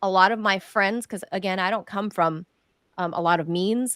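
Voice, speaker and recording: A woman talks with a Southern US accent. The sound is dry and close, with no echo. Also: very clean recording, silent background. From California. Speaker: journalist and show host. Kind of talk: political interview chat.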